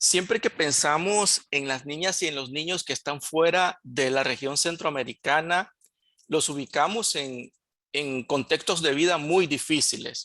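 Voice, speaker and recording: The speaker keeps a moderate pace over a quiet background. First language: Spanish. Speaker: education presenter. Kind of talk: presentation.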